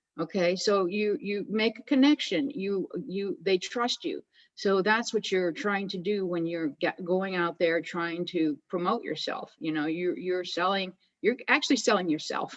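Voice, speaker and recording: An unremarkable speaking voice, lively in intonation, at a fairly slow pace. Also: woman, medium pitch for a woman. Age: 60s. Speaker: direct seller, retired school teacher. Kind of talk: interview.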